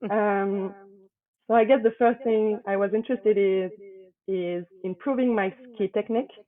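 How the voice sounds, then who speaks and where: Speaking with a French accent, a woman at medium pitch keeps her intonation fairly even and her pace moderate, with long, frequent pauses. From France, Paris. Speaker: private equity associate. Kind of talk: interview.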